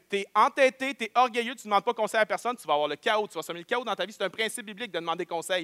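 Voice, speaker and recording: A man with a Quebec accent talks at a very fast pace with hardly any pauses, his voice raised and projected. His pitch is high, his tone bright and sharp, and his loudness swings widely. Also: ordinary pitch variation, dry, close sound with no echo. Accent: Québécois French. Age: 30s. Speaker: pastor. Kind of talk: sermon. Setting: church.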